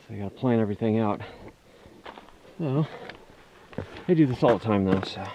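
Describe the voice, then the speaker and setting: Fairly quick speech from a man at medium pitch, with lively intonation, big swings in loudness, long, frequent pauses and noticeable background noise. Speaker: vlogger. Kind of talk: casual vlog narration while hiking. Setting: outdoors on a mountain hike. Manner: casual, with fillers.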